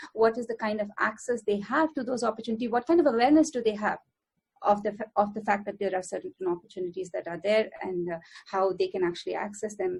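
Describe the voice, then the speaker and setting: Speaking at a very fast pace, a woman with a fairly high pitch sounds somewhat breathy, her pitch varying in an ordinary way. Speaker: academic researcher on gender equality. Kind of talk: panel talk. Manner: hesitant with many fillers.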